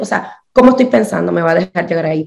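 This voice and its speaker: A woman's fairly quick speech with lively intonation and vocal fry. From Puerto Rico. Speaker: numerologist. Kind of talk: interview, casual chat. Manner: animated.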